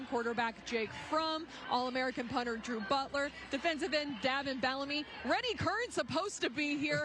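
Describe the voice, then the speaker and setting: With noticeable background noise behind her, a woman speaks in an energetic tone at a high pitch and moderate pace, with ordinary pitch variation, very even loudness and hardly any pauses. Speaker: sports director and television host. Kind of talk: sports show host intro. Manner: energetic, conversational.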